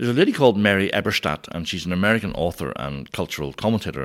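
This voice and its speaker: A man with a Northern Irish accent at a very fast pace, with vocal fry and very wide pitch swings, in a very clean recording with a silent background. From Northern Ireland. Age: 50s. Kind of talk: conversational teaching.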